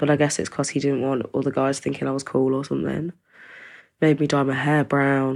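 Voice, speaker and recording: This woman has a very deep, low pitch and an East Midlands accent. She talks at a fairly quick pace in a flat monotone, on a very clean recording with a silent background. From East Midlands, England (small rural town). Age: 20s. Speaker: domestic abuse survivor. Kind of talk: personal testimony. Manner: casual, conversational.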